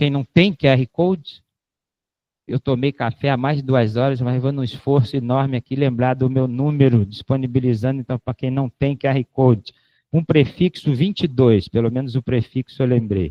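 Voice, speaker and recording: Moderate pace and ordinary pitch variation from a man with a medium pitch. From Rio de Janeiro, Brazil. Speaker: professor. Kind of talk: lecture with Q&A. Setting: lecture hall with audience, filmed and streamed. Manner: casual, joking.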